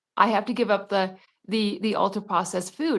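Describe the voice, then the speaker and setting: A woman at a medium pitch with fairly even intonation, in a very clean recording with a silent background. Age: 60s. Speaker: weight loss guest sharing her story. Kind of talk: casual interview chat. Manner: halting, many fillers.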